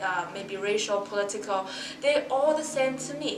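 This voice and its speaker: A woman with a Mandarin accent and ordinary pitch variation, amid noticeable background noise and audible room echo. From Shanghai, China. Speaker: university student and musician. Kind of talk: podcast interview.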